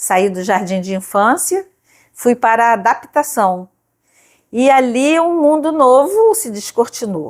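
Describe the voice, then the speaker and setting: Speaking at a very slow pace, a woman with a high pitch makes very wide pitch swings on a very clean recording with a silent background. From Brazil, Rio de Janeiro state (Nova Iguaçu). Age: 70s. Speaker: retired librarian and teacher. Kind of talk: life-story testimony interview.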